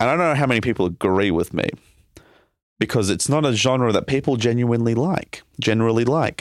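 Speaking at a fairly quick pace with an Australian accent, a man holds a medium pitch and lively intonation at very even loudness. The recording is very clean, with a silent background. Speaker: podcast co-host, comedian. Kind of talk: casual chat. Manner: animated.

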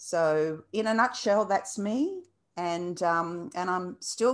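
In an Australian accent, a woman speaks at a medium pitch with ordinary variation against a quiet background. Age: 50s. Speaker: birth educator and dance teacher. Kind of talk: interview. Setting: video call. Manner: passionate.

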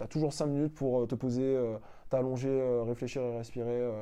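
This man's voice sits fairly high in pitch with a dark, mellow tone, moving at a fairly quick pace over a quiet background. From Martinique. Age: 30s. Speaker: tour guide and podcaster. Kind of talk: testimony interview. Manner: hesitant, many fillers.

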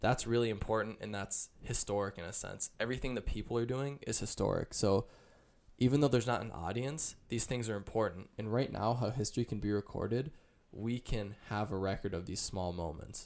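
Delivered at a fairly quick pace, this is a normal speaking voice with ordinary pitch variation. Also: man, fairly low pitch for a man. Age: 20s. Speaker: college student. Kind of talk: casual chat.

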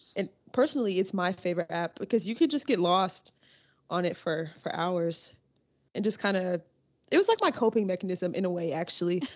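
A woman talks at a fairly quick pace in an ordinary speaking voice, her pitch medium with ordinary variation. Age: young. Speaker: student peer ambassador. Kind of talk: casual chat.

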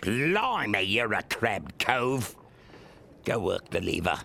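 A man's put-on character voice, medium in pitch and fairly slow, over clear background noise. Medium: audio drama. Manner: gruff, businesslike.

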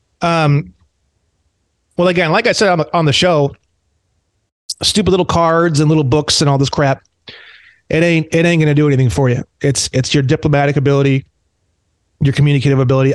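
Fairly high in pitch, a man speaks with an American accent. The sound is dry and close, with no echo. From Indiana, US Midwest. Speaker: sovereign citizen activist. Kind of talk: casual roundtable chat.

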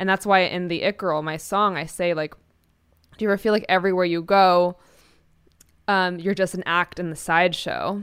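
In a very clean recording with a silent background, a woman with an American accent speaks in a monotone, flat intonation at a moderate pace, with long, frequent pauses. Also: medium pitch for a woman. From New York City. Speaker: singer-songwriter. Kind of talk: interview.

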